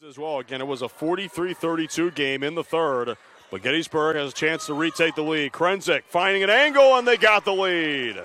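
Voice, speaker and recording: Against noticeable background noise, a man talks at a fairly quick pace with hardly any pauses, his fairly high pitch carrying lively intonation and big swings in loudness. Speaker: play-by-play sports broadcaster. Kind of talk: live basketball play-by-play call. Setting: TV broadcast booth.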